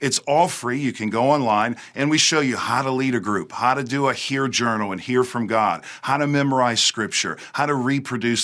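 Bright and sharp in tone, a man with an American accent talks at a medium pitch with ordinary pitch variation and hardly any pauses. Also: very clean recording, silent background. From US South, Louisiana near New Orleans. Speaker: pastor. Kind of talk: interview; testimony.

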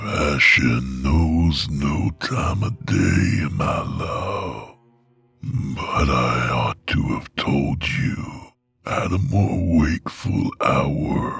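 A hoarse, growling put-on character voice at a very slow pace. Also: man, very deep, low pitch for a man. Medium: read story. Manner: sensual, worshipful, archaic phrasing.

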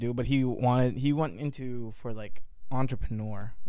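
A man at a medium pitch and a moderate pace. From Philippines, then Vernon Hills, Illinois from age 9. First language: Tagalog. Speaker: guest, friend of host. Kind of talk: casual chat.

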